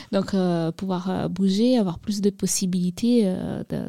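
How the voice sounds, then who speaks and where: The woman's dark, mellow voice has a medium pitch and monotone, flat intonation, heard in a very clean recording with a silent background. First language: not French (speaking French). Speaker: youth outreach coordinator at association. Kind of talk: studio interview, informative explanation.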